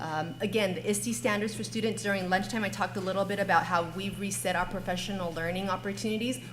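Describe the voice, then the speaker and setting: Over noticeable background noise, a woman talks at a very fast pace with lively intonation and hardly any pauses. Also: medium pitch for a woman. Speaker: school district technology coordinator. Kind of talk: conference panel presentation.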